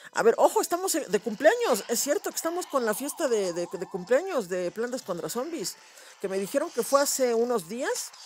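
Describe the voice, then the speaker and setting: Amid noticeable background noise, a man with an extremely high pitch speaks at a moderate pace in an animated tone, his pitch swinging very widely. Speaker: gaming youtuber. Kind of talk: gameplay commentary.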